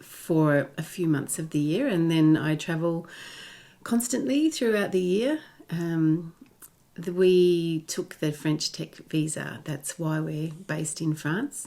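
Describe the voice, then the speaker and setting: A woman with an Australian accent talks very slowly at a fairly low pitch, her pitch varying in an ordinary way. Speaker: digital nomad. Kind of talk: interview.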